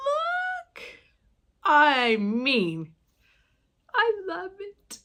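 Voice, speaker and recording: A woman speaks in an animated tone. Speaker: cross stitch video blogger. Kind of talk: casual haul chat.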